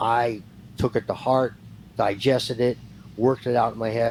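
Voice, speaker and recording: With an ordinary speaking voice, a man talks at medium pitch and a moderate pace, his intonation fairly even. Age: 60s. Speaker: retired professional wrestler. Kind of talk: interview.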